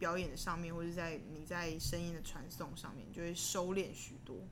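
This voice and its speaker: With audible room echo, a woman talks at a fairly quick pace. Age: 30s. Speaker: singer and band frontwoman. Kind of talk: casual interview.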